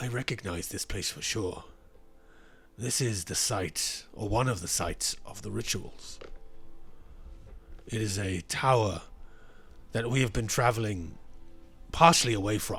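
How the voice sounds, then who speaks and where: A man puts on a raspy character voice at a medium pitch. He keeps a moderate pace, broken by long, frequent pauses. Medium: actual play. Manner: measured, formal, hedging.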